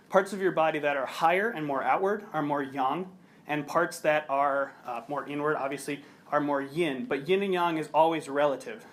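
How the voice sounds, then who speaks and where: Audible room echo colors the voice of a man with an American accent, fairly high in pitch with ordinary pitch variation. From US Midwest, Chicago. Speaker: researcher and yoga teacher. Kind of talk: conference presentation. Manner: fast.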